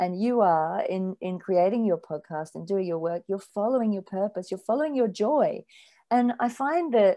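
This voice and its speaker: The background is quiet as a woman with an Australian accent speaks at a moderate pace. Her tone is dark and mellow, her intonation lively. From rural Australia. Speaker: spiritual author. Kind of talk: podcast interview.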